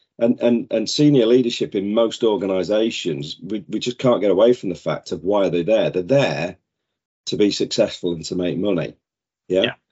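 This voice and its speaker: In a British accent, a man speaks with ordinary pitch variation. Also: fairly low pitch for a man, moderate pace. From northern England. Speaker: safety sales director. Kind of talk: casual chat.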